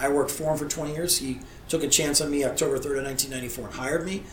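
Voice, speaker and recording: Fairly quick and fairly high-pitched, a man speaks amid audible room echo and noticeable background noise. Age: 50s. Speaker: lawyer and political candidate. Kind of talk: interview.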